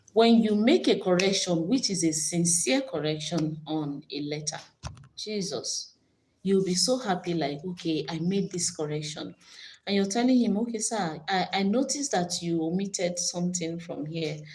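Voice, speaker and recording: At a moderate pace, a woman speaks with lively intonation in a fairly low, somewhat breathy voice. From Nigeria. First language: Nigerian language (not English). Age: 40s. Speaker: YouTuber. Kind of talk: casual live stream chat. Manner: animated.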